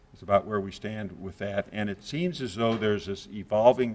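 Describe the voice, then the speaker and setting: With an unremarkable speaking voice, a man talks at a moderate pace, fairly low in pitch, with ordinary pitch variation. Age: 60s. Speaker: cardiology professor. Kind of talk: lecture. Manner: conversational, with frequent uh fillers.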